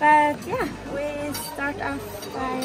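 A woman's voice against loud background noise. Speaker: travel vlogger. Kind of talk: casual vlog chat. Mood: cheerful, laughing. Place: cafe. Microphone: phone near.

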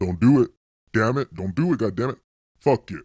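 This is a man with a rumbling voice. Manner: exasperated, grumbling.

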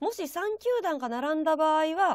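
Her pitch extremely high and swinging very widely, a woman speaks at a moderate pace in a dry recording with no echo. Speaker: freelance announcer and show MC; freelance announcer, show MC. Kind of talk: live-stream baseball talk show hosting. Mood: bright, friendly. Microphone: voice echoing.

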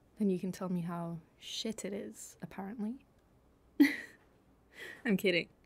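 A woman's somewhat breathy voice at medium pitch, with ordinary pitch variation and a fairly slow pace, in a very clean recording with a silent background. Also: long, frequent pauses. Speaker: ASMR creator doing a girlfriend roleplay. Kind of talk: girlfriend ASMR roleplay, casual talk to the listener.

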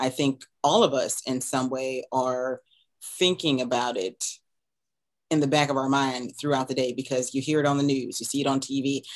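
Against a quiet background, a woman with a very deep, low voice speaks at a moderate pace in a monotone, flat intonation. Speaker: podcast host interviewer. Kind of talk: interview question and commentary. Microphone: headset.

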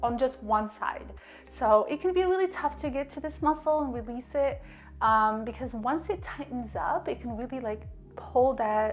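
Faint music plays behind a woman whose high-pitched voice moves at a moderate pace. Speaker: fitness coach. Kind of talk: tutorial. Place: home room.

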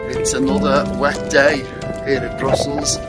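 A man speaking over loud music in the background. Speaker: travel vlogger. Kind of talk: casual vlog chat. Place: street. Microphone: phone near.

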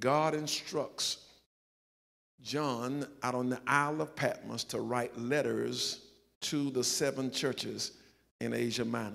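A very slow pace broken by long, frequent pauses. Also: man. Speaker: pastor. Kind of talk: sermon. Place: church.

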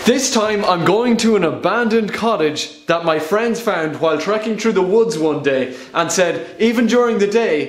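A man with an Irish accent speaks at a high pitch and a moderate pace, with lively intonation and hardly any pauses. Audible room echo surrounds the voice. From Ireland. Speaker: travel vlogger. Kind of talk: casual talk to camera. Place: bathroom. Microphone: phone near.

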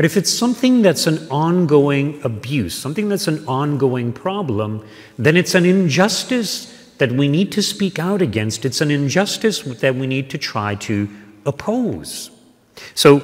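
His pitch swings very widely. The man keeps to a fairly slow pace. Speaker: parish priest. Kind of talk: sermon. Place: church. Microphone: podium.

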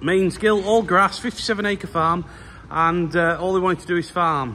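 A man speaks at a fairly slow pace in a raised, projected voice with ordinary pitch variation over light background noise. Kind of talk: casual vlog chat. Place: farm machine. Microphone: phone near.

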